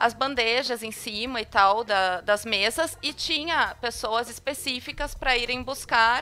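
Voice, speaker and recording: A woman speaks with a high, bright, sharp voice and ordinary pitch variation. Her pace is fairly slow, with hardly any pauses. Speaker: podcast host. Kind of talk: casual chat.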